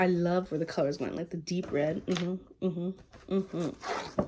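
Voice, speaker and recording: Soft-spoken, a woman talks at a moderate pace in a medium-pitched voice. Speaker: vlogger. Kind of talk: casual chat. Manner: halting.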